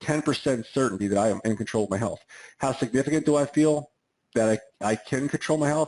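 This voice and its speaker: Against a quiet background, a man talks at a very fast pace. His tone is animated and his pitch medium. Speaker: chiropractor giving wellness talk. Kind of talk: webinar talk on a group call. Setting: online group call.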